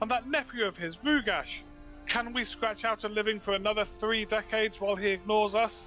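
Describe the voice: A man's shrill, put-on character voice at a moderate pace, with clear music in the background.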